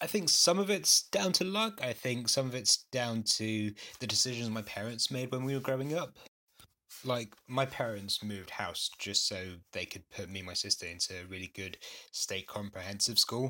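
A man's bright, sharp voice with a London accent, medium pitch and lively intonation, at a moderate pace. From North London, Gujarati Indian family. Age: young. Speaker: cancer research technician. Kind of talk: casual chat. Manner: sarcastic-sounding.

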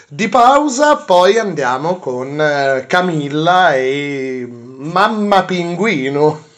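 A man speaks in a high voice with lively intonation. Noticeable background noise runs behind him. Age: 20s. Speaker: podcast host. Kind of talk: casual chat. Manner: halting.

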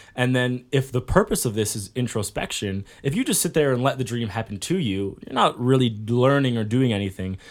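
A man talks at a fairly quick pace with hardly any pauses. He has a plain, everyday voice and ordinary pitch variation. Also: medium pitch for a man. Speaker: podcast host. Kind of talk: casual chat. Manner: joking, banter.

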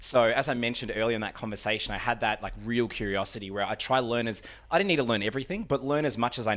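A man talks at a very fast pace, his fairly low pitch showing ordinary variation. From Australia, Melbourne eastern suburbs. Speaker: podcast guest. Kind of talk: casual chat. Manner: musical, charismatic delivery.

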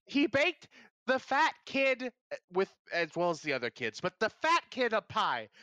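A raised, projected voice with a bright, sharp tone and very wide pitch swings comes at a moderate pace, dry and close with no echo over a quiet background. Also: man, high pitch for a man. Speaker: podcast host. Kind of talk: casual banter, joking. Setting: live stream. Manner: jokey, does impressions.

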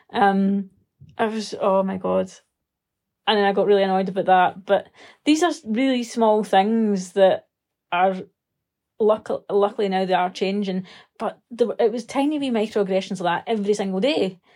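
A woman with a dark, mellow tone speaks at a moderate pace, leaving long, frequent pauses. The recording is very clean, with a silent background. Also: medium pitch for a woman, ordinary pitch variation. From Scotland, Renfrew near Glasgow, now Edinburgh. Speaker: Scottish writer. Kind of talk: casual interview chat.

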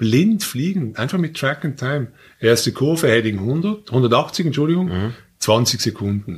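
A man speaks at a moderate pace in a medium pitch with very wide pitch swings. His voice is somewhat breathy. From Switzerland, Basel. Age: 50s. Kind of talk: casual chat.

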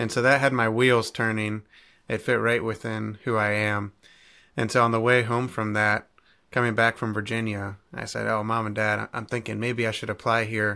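The man has an American accent, a medium pitch and a bright, sharp tone. His intonation is monotone and flat, on a very clean recording with a silent background. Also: moderate pace. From Ohio (Cleveland). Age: young. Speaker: entrepreneur and podcast host. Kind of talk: interview.

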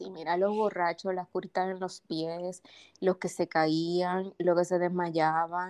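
A woman speaks very slowly in a Dominican accent, her fairly low voice flat and monotone. The sound is dry and close, with no echo. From Dominican Republic, Santo Domingo. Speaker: paramedic and first-aid instructor. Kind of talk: casual interview. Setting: studio.

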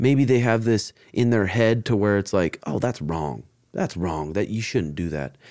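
Speaking fairly slowly, a man uses a plain, everyday voice with a fairly low pitch and lively intonation. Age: 30s. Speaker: jiu-jitsu instructor and podcast host. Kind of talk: casual chat.

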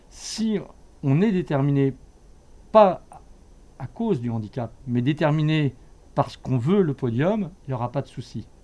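This man talks at a fairly slow pace with long, frequent pauses. His fairly high-pitched voice has a dark, mellow tone and lively intonation. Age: 50s. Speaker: swimming coach. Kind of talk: interview testimony.

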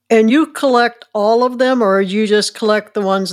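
A woman with a Midwestern American accent speaks at a moderate pace, medium in pitch, with lively intonation. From rural Illinois. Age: 70s. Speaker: podcast host. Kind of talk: interview.

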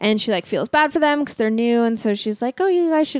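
A woman speaks with ordinary pitch variation. The recording is very clean and the background silent, with a dry, close sound and no echo. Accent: Californian. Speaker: podcast co-host. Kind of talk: casual chat. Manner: filler-heavy, says like a lot.

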